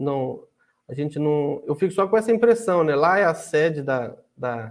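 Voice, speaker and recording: The recording has a quiet background. A man with a fairly high pitch speaks in a plain, everyday voice. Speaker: podcast host. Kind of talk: casual interview.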